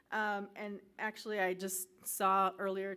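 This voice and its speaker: A woman's voice at a medium pitch. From Illinois, Quad Cities. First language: Spanish. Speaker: professor. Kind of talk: keynote speech. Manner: frequent fillers (um, uh).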